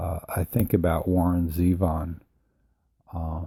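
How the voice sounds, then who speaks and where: At a fairly slow pace, a man speaks with a very deep, low pitch, a dark, mellow tone that is somewhat breathy, and a monotone, flat intonation. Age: 60s. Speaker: musician and podcaster. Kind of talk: casual monologue. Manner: halting, with many fillers.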